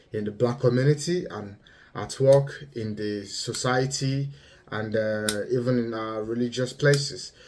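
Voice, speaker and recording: A man talks with a Yoruba accent at a medium pitch. His pace is fairly slow. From Nigeria. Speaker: vlogger. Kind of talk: monologue commentary. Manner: halting, many fillers.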